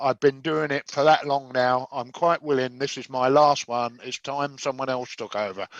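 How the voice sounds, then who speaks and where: A man with an English accent talks at a moderate pace and medium pitch, with fairly even intonation, hardly any pauses, and a dry, close sound with no echo. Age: 70s. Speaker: chef and competition judge. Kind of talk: casual chat. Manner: halting.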